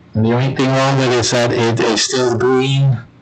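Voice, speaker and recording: Audible room echo and noticeable background noise fill the recording. A man speaks at a moderate pace and a medium pitch. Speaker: political commentary livestream host. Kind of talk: livestream monologue. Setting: home studio livestream. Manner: halting.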